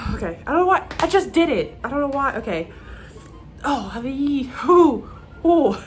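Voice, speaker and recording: Over music in the background, a woman speaks at a moderate pace in a high pitch, with very wide pitch swings and long, frequent pauses. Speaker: beauty vlogger. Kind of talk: casual chat.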